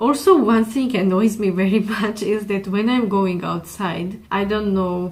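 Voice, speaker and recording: Somewhat breathy, a woman speaks at a medium pitch and a moderate pace. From Georgia. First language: Georgian. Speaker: YouTuber. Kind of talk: vlog monologue. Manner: hesitant with fillers.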